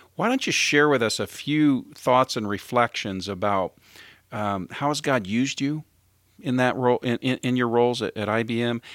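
With a dry, close sound and no echo, a man speaks at a moderate pace and medium pitch in an unremarkable speaking voice, showing ordinary pitch variation. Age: 50s. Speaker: podcast host. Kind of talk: interview; show intro and outro.

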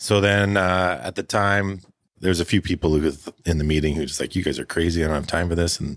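Fairly even intonation in a Canadian accent, with a dry, close sound and no echo. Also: man. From northern British Columbia, Canada (Prince George). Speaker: brewery owner and brewer. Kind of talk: casual interview. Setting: on location at the brewery.

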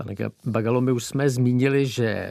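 Heard in a very clean recording with a silent background, a man speaks at a moderate pace. His tone is dark and mellow at medium pitch. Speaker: radio host. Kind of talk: interview.

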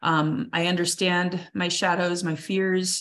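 Her pitch sits fairly low and her intonation stays fairly even, in a plain, everyday voice from this woman. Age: 40s. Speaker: coach and speaker. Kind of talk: interview.

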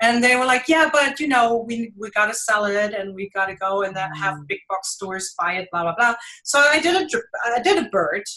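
A woman with a German accent, fairly high-pitched and fairly quick, with lively intonation and a bright, sharp tone. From Germany (Düsseldorf). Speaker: mixed-media artist. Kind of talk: interview. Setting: live video stream. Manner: halting, many fillers.

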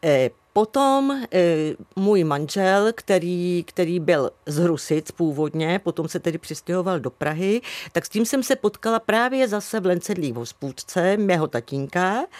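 A woman's fairly low voice at a fairly slow pace, with very wide pitch swings, in a very clean, silent recording with a dry, close sound and no echo. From Central Bohemia, Czechia. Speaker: former museum worker. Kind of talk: interview. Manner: halting.

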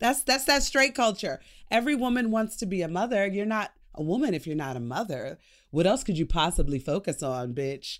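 In a very clean recording with a silent background, a woman with vocal fry speaks at a fairly quick pace and medium pitch, her pitch swinging very widely. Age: 40s. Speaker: comedian. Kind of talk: casual chat.

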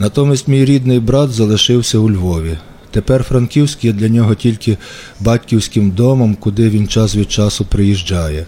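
Speaking at a moderate pace with very even loudness, a man uses a plain, everyday voice with a fairly low pitch and ordinary pitch variation. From western Ukraine, Ivano-Frankivsk. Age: 40s. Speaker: writer. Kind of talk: scripted narration.

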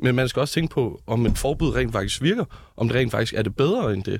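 Recorded very cleanly against a silent background, a man talks in an ordinary speaking voice with ordinary pitch variation. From Hellerup, Copenhagen area. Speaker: youth politician, student. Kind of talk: political debate.

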